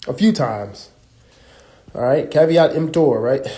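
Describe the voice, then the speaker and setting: A man with an American accent, fairly high-pitched, somewhat breathy, with a dark, mellow tone, ordinary pitch variation and a fairly slow pace. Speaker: religious teacher. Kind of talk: live stream teaching. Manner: casual, conversational.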